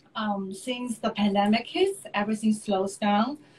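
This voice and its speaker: A woman with a Chinese accent talks fairly slowly at a fairly high pitch, somewhat breathy and with fairly even intonation. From China. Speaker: artist and designer. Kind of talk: live interview chat. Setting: Instagram live video stream.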